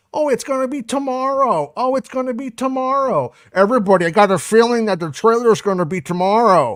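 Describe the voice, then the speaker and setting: In a put-on character voice that is raspy and fairly high, the speaker goes at a fairly quick pace with hardly any pauses, on a very clean recording with a silent background. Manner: creepy, breathless excitement.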